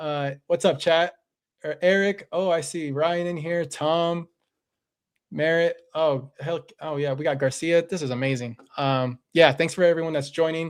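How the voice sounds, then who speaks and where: On a very clean recording with a silent background, a man with a plain, everyday voice speaks fairly slowly in a fairly high pitch with fairly even intonation. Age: 30s. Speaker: Pokemon card collecting streamer. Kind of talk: casual chat. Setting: live stream.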